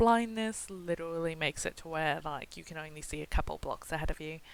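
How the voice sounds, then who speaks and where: Her loudness swings widely while a woman speaks at a moderate pace with ordinary pitch variation. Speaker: gaming YouTuber, server owner. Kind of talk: gameplay tutorial. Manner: casual with many fillers.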